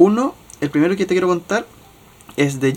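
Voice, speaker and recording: A man talks at a fairly quick pace in a Chilean accent. His pitch varies in an ordinary way. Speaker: podcast co-host. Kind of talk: casual chat.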